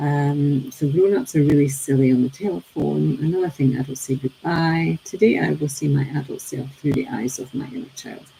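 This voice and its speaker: With hardly any pauses, a woman speaks in a very deep, low pitch with ordinary pitch variation over noticeable background noise. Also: moderate pace. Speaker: teacher and daily reading presenter. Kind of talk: reflective talk on a daily reading. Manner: hesitant, many fillers.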